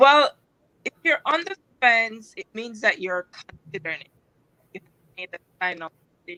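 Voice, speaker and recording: A woman's bright, sharp voice comes across dry and close, with no echo. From Jamaica. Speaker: author and life coach. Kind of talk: interview answer.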